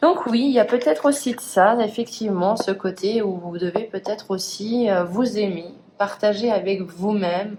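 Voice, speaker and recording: The pitch varies in an ordinary way, with noticeable background noise in the recording. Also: woman, medium pitch for a woman, moderate pace. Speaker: tarot card reader. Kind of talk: tarot reading. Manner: hesitant.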